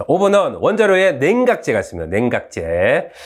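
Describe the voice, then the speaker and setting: A man talks at a moderate pace. He speaks with a Gyeongsang accent. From South Korea, Gyeongsang (Uljin, North Gyeongsang). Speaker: university professor. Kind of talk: lecture. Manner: casual, halting with fillers.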